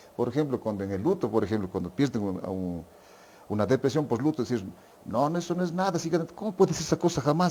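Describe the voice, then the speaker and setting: This man talks very fast in a fairly high pitch, with vocal fry, a dark, mellow tone and very wide pitch swings. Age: 60s. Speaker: physician. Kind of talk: podcast interview.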